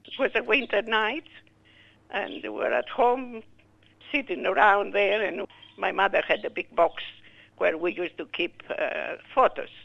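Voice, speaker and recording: Taking long, frequent pauses, a woman with a Greek accent speaks at a fairly slow pace. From Greece. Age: 80s+. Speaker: war survivor and widow. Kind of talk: interview testimony.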